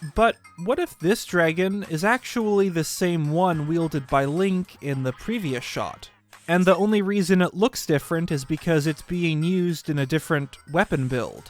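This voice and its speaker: At a moderate pace with ordinary pitch variation, the voice has a dry, close sound with no echo, though noticeable background noise comes through. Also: man, high pitch for a man. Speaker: gaming video commentator. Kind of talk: scripted narration.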